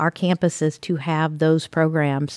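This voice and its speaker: A woman's fairly low, monotone voice with an American accent, dry and close with no echo, on a very clean recording with a silent background. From Southern Indiana, small town. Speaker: college president and former politician. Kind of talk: interview. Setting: studio.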